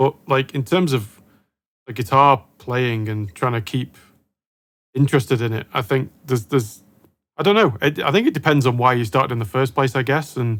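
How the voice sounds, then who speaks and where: Here a man has an ordinary speaking voice at a medium pitch with ordinary pitch variation. He keeps a moderate pace. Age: younger than guest. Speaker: guitar show host. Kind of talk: interview.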